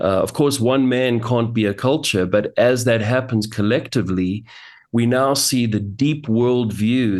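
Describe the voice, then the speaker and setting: Against a quiet background, a man with a South African accent speaks at a fairly slow pace. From South Africa, Johannesburg. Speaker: pastor and author. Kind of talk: interview.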